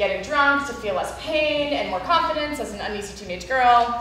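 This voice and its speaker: Light background noise and audible room echo come through. A woman speaks at a moderate pace. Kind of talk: spoken word monologue performance. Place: hall.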